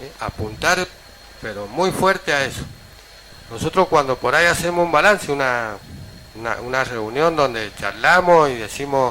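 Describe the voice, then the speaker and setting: A man with a fairly high pitch speaks with lively intonation and long, frequent pauses over noticeable background noise. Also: moderate pace. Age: 60s. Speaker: local politician. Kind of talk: radio interview.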